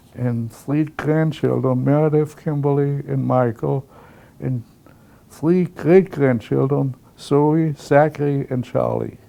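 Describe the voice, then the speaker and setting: Speaking at a very slow pace, a man holds a fairly high pitch with fairly even intonation. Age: 90s. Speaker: retired engineer. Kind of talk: interview.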